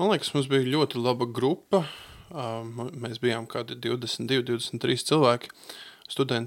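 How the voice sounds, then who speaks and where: Using ordinary pitch variation, a man talks at a medium pitch for a man. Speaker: translator and bible school teacher. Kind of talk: radio interview. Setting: studio. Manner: halting, many fillers.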